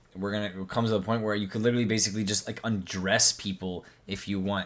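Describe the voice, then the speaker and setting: This man has a fairly low pitch and speaks at a very fast pace. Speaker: YouTube commentator reacting to tech video. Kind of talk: reaction video commentary. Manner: animated, repetitive emphasis; stuttering at moments.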